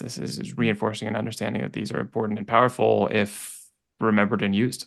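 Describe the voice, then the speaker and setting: A man's fairly low, fried voice at a fairly quick clip against a quiet background. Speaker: coaching podcast co-host. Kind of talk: coaching session. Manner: halting.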